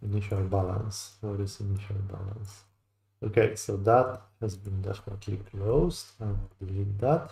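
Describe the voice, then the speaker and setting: The man's tone is dark and mellow, somewhat breathy. His intonation stays fairly even. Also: fairly low pitch for a man, moderate pace. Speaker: futures day trader streaming live. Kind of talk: live trading commentary, thinking aloud. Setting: live stream.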